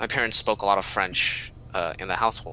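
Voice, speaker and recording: At a moderate pace, a man speaks with a bright, sharp tone. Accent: American. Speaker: student podcast co-host. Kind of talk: casual chat.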